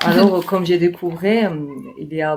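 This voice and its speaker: A woman speaks with a Georgian accent. The recording is very clean, with a silent background. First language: Georgian (speaking French). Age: 20s. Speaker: podcast guest. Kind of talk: interview. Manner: halting, many hesitations.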